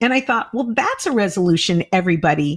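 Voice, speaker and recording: Over a very clean recording with a silent background, a woman talks at a fairly quick pace with vocal fry and very wide pitch swings. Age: 60s. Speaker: comedian and podcast host. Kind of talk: casual chat. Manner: animated.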